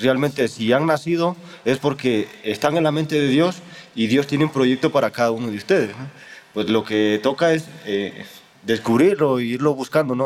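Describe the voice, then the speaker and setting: There is noticeable background noise in the recording. Through it, a man speaks at a moderate pace. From Honduras. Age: 20s. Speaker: theology student in a religious order. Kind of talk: interview. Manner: halting, with frequent repetitions.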